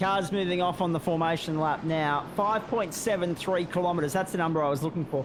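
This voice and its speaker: Against noticeable background noise, a man with an Australian accent talks at a fairly quick pace in a high pitch, with fairly even intonation, very even loudness and hardly any pauses. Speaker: sim racing guest commentator. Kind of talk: live race commentary.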